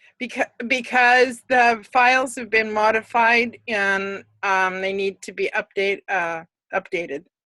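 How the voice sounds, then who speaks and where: In a dry, close sound with no echo, a woman speaks at a fairly slow pace in a bright, sharp tone, her fairly high pitch varying in an ordinary way. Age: 60s. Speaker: student. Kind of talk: live online tutoring session. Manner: halting.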